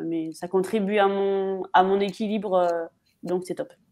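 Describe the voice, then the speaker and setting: Fairly even intonation from a woman at a fairly slow pace, with a quiet background. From Paris region, France; France. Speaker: footballer; guest. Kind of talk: live stream interview. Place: home room. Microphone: video call.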